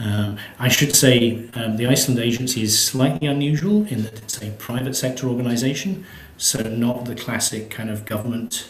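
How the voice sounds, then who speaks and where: A man with a British accent speaks at a moderate pace and medium pitch, with ordinary pitch variation and hardly any pauses. Noticeable background noise and audible room echo surround his voice. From Britain. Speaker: space agency executive. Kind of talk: interview. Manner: hesitant, many fillers.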